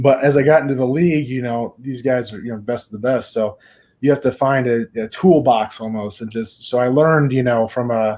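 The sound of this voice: A slightly mellow tone at a fairly quick pace. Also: man, medium pitch for a man, ordinary pitch variation.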